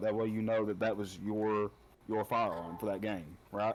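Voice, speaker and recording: Someone with an Appalachian accent speaks at a fairly slow pace on a very clean recording with a silent background. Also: man. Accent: Appalachian holler. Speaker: podcast guest, gamer. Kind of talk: casual chat.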